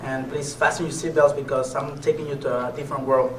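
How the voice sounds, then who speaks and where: A man with a Mexican accent and fairly high pitch at a fairly quick pace, with audible room echo and noticeable background noise. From Mexico, Nayarit (near Puerto Vallarta). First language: Spanish. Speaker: motivational speaker and MMA fighter. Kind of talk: motivational speech.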